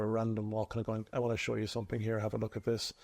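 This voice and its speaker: A very fast man with a Cork accent, medium in pitch, dark and mellow in tone, against a quiet background. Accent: Cork Irish. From Ireland, Cork city. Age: 40s. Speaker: local politician. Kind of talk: interview. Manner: hesitant, many fillers.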